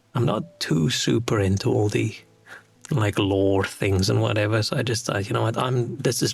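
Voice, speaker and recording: Soft-spoken and fairly quick, a man talks at a fairly low pitch, with music in the background. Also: very even loudness. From South Africa. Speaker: streamer. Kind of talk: casual chat. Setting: home studio flat.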